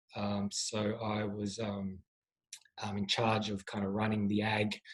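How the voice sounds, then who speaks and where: A man speaks with an Australian accent. His voice is somewhat breathy. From Australia, rural Victoria. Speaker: startup founder and CEO. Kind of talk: podcast interview. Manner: hesitant, many fillers.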